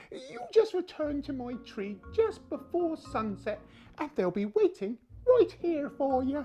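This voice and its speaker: The speaker puts on a high-pitched character voice at a fairly slow pace. The pitch swings very wide throughout. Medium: solo performance. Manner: sly, crafty.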